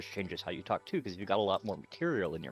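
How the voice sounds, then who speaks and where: Music plays in the background as a man with a fairly low pitch talks at a very fast pace with lively intonation. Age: 30s. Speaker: video game streamer. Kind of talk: casual chat. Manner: careful, slightly off enunciation.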